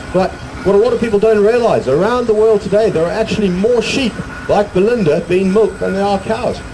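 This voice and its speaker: Over noticeable background noise and audible room echo, a man talks at a fairly quick pace. His pitch is high. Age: 60s. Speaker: sheep show presenter. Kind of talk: live stage show with audience banter. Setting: stage with outdoor audience. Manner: animated. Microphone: poor sound quality.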